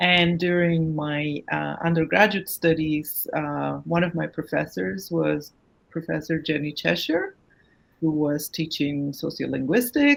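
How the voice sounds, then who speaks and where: A woman with a Turkish accent, talking at a fairly slow pace. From Turkey, Anatolian village, Kurdish family. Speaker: academic researcher. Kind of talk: interview.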